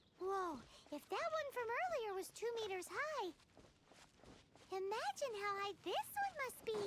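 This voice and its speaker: In a squeaky, put-on character voice pitched extremely high, the speaker goes at a moderate pace with long, frequent pauses. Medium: video game.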